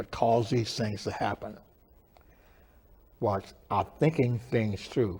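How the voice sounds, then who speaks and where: This man speaks with an American accent at a fairly slow pace. His voice is somewhat breathy. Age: 80s+. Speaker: computer pioneer. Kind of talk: interview.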